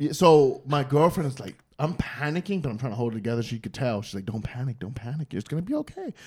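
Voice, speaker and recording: With an American accent, a man talks at a very fast pace and medium pitch. His voice is somewhat breathy, and his intonation is lively. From New York City. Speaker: stand-up comedian. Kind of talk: casual chat.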